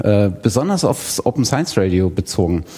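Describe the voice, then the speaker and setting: Speaking fairly slowly, a man keeps a fairly low pitch. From Thuringia, eastern Germany. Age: 30s. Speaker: podcaster. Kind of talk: self-introduction at live event. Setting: live room with audience.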